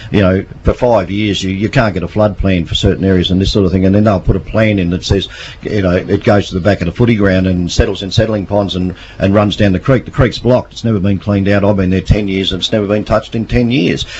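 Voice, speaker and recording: Over noticeable background noise, a man with an Australian accent talks at a very fast pace in a fairly low voice with fairly even intonation. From Victoria, Australia. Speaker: local council candidate. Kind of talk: radio interview. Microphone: far from the mic.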